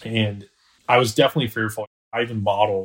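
Spoken with an American accent in a flat monotone, the voice sits on a very clean recording against a silent background. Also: man. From US South. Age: 30s. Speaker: small business owner. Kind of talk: interview.

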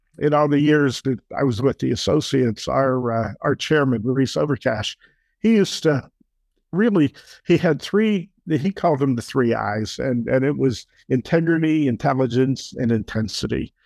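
Against a quiet background in a dry, close sound with no echo, a man with an American accent uses an ordinary speaking voice at medium pitch, with lively intonation and a moderate pace. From Pittsburgh area, Pennsylvania. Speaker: retired business executive, podcast co-host. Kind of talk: casual chat.

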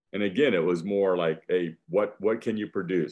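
A man's ordinary speaking voice, fairly low in pitch, at a moderate pace with ordinary pitch variation. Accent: American. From US Midwest (northeast Iowa). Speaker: church evangelist. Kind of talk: interview.

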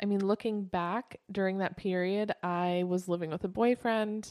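A woman with an unremarkable speaking voice, a medium pitch and fairly even intonation is heard in a very clean recording with a silent background and a dry, close sound with no echo. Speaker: co-host, film editor. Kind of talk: casual chat.

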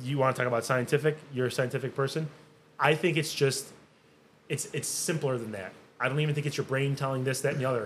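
The speech comes at a very fast pace. It sounds somewhat breathy. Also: man, fairly high pitch for a man. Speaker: podcast host. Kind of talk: casual chat. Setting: studio. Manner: excitable.

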